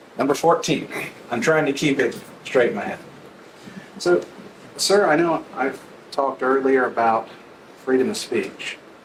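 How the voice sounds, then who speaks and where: A fairly high-pitched man with lively intonation, a moderate pace and long, frequent pauses, in audible room echo. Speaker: trial lawyer questioning jurors. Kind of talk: jury selection questioning. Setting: courtroom. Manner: soft-spoken.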